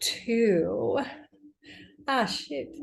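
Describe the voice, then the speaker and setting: Audible room echo surrounds a woman as she talks. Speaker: tarot card reader. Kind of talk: tarot reading. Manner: quiet; casual.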